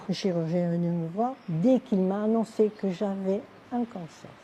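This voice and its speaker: A woman at a fairly slow pace and medium pitch, with ordinary pitch variation and noticeable background noise. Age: 80s+. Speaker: karate practitioner. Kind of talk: interview testimony. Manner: animated.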